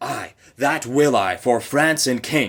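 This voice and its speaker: A man puts on a character voice at a fairly high pitch, his pitch varying in an ordinary way. He speaks at a fairly slow pace in a very clean recording with a silent background. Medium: read story. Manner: earnest.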